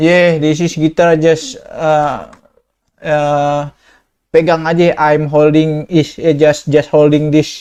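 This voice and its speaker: A man delivers a very slow, monotone, flat reading at a fairly high pitch with very even loudness. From Indonesia. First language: Indonesian. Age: 20s. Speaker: video chat prankster. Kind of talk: casual chat. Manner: halting.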